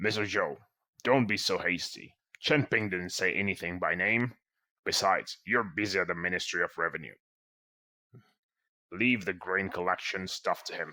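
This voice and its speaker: In a put-on character voice, a man speaks very deep and low at a moderate pace, with ordinary pitch variation and long, frequent pauses, on a very clean recording with a silent background. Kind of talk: formal court speech. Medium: fan dub. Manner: measured, authoritative.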